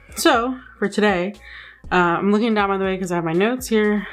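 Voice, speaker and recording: A woman with an American accent at a fairly quick pace, ordinary pitch variation, and music in the background. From United States. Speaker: beauty and travel vlogger. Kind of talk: casual storytime monologue. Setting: home video, looking at notes. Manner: chatty, many fillers.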